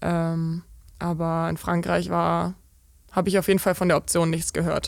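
There is a woman's voice on a very clean recording with a silent background. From eastern Germany, Brandenburg (Eisenhüttenstadt). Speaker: professional volleyball player. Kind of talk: interview. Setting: VIP lounge of the club.

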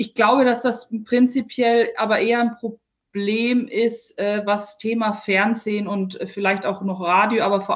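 Her pitch is fairly high and her intonation monotone and flat. The woman sounds calm and speaks with hardly any pauses. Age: 40s. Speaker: sports reporter. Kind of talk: interview. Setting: remote call.

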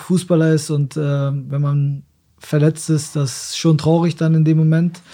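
This man's voice sits fairly high and stays monotone and flat, moving at a moderate pace. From Germany, Osnabrück. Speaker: professional footballer. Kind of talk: casual interview.

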